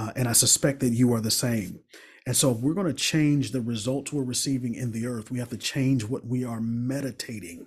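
Over a quiet background, a man speaks in a somewhat breathy voice with ordinary pitch variation. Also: medium pitch for a man, fairly quick pace. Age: 40s. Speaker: relationship coach and speaker. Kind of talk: motivational talk. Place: home room. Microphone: studio mic.

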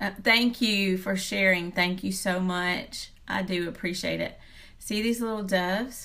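This woman has a bright, sharp tone and a fairly even intonation. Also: fairly slow pace. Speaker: speaker. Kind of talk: devotional talk to viewers, live stream style. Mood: warm, earnest. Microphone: phone near.

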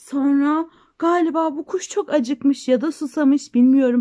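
A woman's high, dark and mellow voice at a fairly slow pace with ordinary pitch variation

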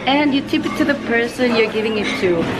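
A woman's fairly quick speech with ordinary pitch variation, crowd noise behind her. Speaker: travel vlogger. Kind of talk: casual vlog chat. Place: shop. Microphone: phone near.

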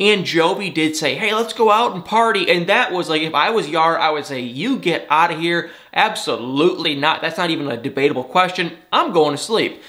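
Against a quiet background, a man with an American accent talks at a fairly quick pace in a high pitch, his tone animated, bright and sharp, with lively intonation. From Michigan, US. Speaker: celebrity gossip YouTuber. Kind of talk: casual TV recap vlog. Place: home room.

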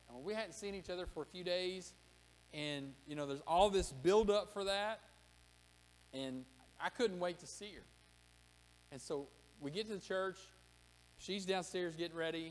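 Over light background noise, a man with a high voice talks at a moderate pace, his loudness swinging a lot, his pitch varying in an ordinary way, and his long pauses coming often. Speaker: pastor. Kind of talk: sermon. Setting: church. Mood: warm personal storytelling. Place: church. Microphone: podium.

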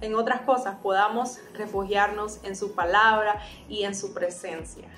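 Over light background noise and audible room echo, a woman talks at a moderate pace in a fairly high pitch with fairly even intonation. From Honduras. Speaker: singer, voice-over announcer. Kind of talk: casual talk to camera. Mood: warm, gentle, encouraging. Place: home room.

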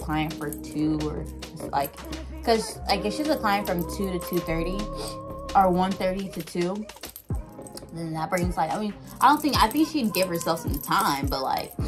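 A woman talks at a moderate speed while music plays clearly behind her. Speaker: vlogger. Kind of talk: casual vlog chat. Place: home room. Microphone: phone near.

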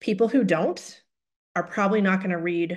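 A plain, everyday voice with ordinary pitch variation comes through over a quiet background. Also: woman. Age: 40s. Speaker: health communication director, webinar trainer; webinar trainer. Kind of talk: webinar training presentation. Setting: online webinar. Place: home room. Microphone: webcam.

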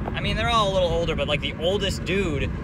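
Very fast speech with a dry sound and no echo sits over loud background noise. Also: man. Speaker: car channel vlogger. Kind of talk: casual vlog chat. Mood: annoyed, amused storytelling.

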